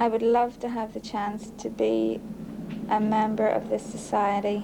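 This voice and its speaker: Background noise is noticeable as a woman speaks very slowly with a Belfast accent. Her fairly high-pitched voice stays monotone and flat. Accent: Belfast Northern Irish. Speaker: undocumented Irish immigrant mother. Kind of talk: interview.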